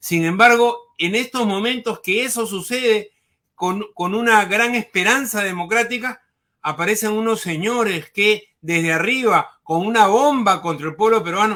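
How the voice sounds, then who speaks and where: With a bright, sharp tone and high pitch, a man projects a raised voice at a fairly slow pace, his intonation lively. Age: 60s. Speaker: former education minister, political analyst. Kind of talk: political interview.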